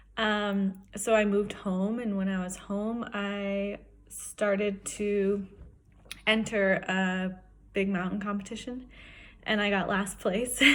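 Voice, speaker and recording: Speaking very slowly with long, frequent pauses, a woman at medium pitch keeps a flat, monotone intonation amid audible room echo. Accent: American. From Wyoming, US. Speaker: professional skier. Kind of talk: personal testimony.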